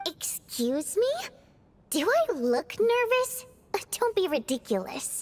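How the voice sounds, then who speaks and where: The voice is a put-on character that moves at a fairly slow pace. Its pitch swings very widely, and long pauses come often. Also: woman, extremely high pitch for a woman. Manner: defensive, nervous.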